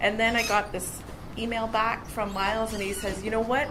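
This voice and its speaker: In a room with audible echo and noticeable background noise, a woman with a Canadian accent speaks at a fairly high pitch with fairly even intonation. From northwestern Ontario, Canada. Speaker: conference speaker, university graduate. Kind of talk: conference talk with storytelling. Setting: conference stage with audience. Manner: casual, with many filler words.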